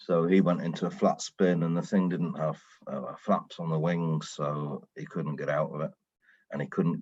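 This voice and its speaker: A man speaks at a moderate pace with a British accent. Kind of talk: podcast interview guest. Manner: storytelling.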